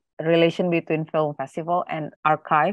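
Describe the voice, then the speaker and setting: A woman with an Indonesian accent, her pitch very deep and low, at a moderate pace. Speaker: film archivist. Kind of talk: panel presentation.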